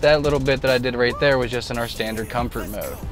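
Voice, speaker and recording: A man speaks in a flat monotone. Clear music plays behind him, and the sound is dry with no echo. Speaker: car salesperson. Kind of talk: product demo commentary. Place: car.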